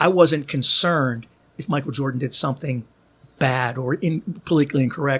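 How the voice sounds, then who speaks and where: A somewhat breathy voice at a very fast pace, with an American accent. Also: man. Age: 60s. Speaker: podcaster and author. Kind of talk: casual chat. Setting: studio.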